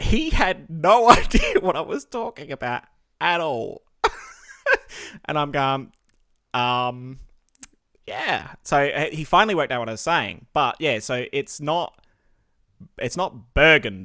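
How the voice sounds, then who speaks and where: In an Australian accent, the speaker goes at a fairly slow pace with long, frequent pauses. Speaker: podcast host and streamer. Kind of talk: casual chat. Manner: animated.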